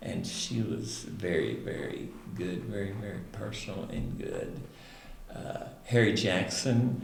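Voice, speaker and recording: A man with a Southern US accent at a very slow pace, over noticeable background noise. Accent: Southern US (Oklahoma). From Roland, Oklahoma. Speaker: retired speech and drama teacher. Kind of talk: interview answer.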